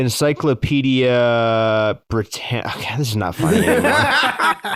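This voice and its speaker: This man has a plain, everyday voice with an American accent and a medium pitch. He talks at a fairly slow pace with ordinary pitch variation. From Massachusetts, US. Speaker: podcast co-host. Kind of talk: casual chat.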